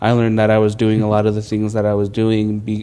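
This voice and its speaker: Monotone and flat, a man speaks in a fairly low pitch with a dark, mellow tone. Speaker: youth leader interviewed at church. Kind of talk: personal testimony interview. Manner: halting, self-correcting.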